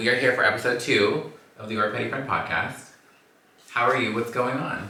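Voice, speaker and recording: An animated man with a Southern California accent at a fairly quick pace, amid audible room echo and noticeable background noise. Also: medium pitch for a man. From Los Angeles. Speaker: podcast host. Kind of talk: casual chat.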